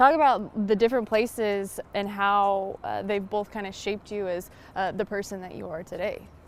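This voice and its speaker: With an ordinary speaking voice, a woman talks at a moderate pace with hardly any pauses, big swings in loudness and fairly even intonation. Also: medium pitch for a woman. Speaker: sports sideline reporter. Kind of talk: sports sideline reporting and interview questions.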